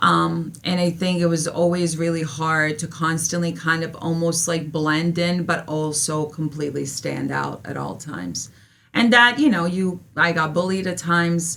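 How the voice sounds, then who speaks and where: With a Serbian accent, the speaker keeps a moderate pace with hardly any pauses and fairly even intonation, and audible room echo surrounds the voice. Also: woman, fairly low pitch for a woman. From Serbia / former Yugoslavia, moved to US as child. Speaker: history teacher. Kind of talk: interview testimony.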